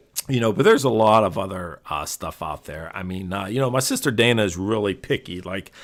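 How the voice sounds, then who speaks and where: A man with a Pittsburgh accent and fairly low pitch, hardly any pauses, on a very clean recording with a silent background. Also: ordinary pitch variation, fairly quick pace. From Pittsburgh, Western Pennsylvania. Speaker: podcast host. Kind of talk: casual monologue. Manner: halting, many fillers.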